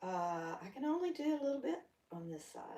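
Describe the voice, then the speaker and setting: A woman in a Southern US accent talks at a fairly quick pace. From US South. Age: 60s. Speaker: yoga instructor. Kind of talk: guided exercise class. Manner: animated.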